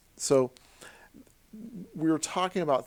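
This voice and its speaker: A man with an American accent at a fairly slow pace, with ordinary pitch variation, on a very clean recording with a silent background. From US Midwest, Southern Illinois. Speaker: university lecturer. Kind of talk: lecture. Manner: halting, many fillers.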